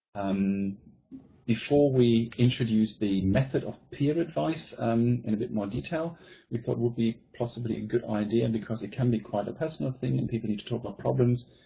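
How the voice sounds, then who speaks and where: A man's medium-pitched voice with a German accent, fairly quick pace and ordinary pitch variation. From Germany. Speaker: teacher and presenter. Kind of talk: conference presentation.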